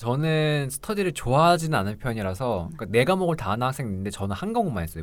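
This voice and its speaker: Talking at a very fast pace with hardly any pauses, a man with a medium pitch swings his pitch very widely on a very clean recording with a silent background. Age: 20s. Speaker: pharmacy school applicant, student. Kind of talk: casual chat.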